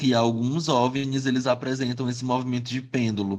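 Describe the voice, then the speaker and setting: Male speech in a normal speaking voice, mid-pitched and moderately paced, the intonation mostly level. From Piauí, Brazil (Teresina). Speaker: podcast host. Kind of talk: casual chat storytelling.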